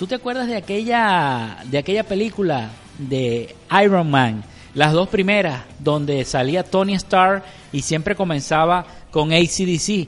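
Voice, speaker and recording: A man's high voice with lively intonation at a very slow pace. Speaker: film podcast co-host. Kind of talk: casual chat.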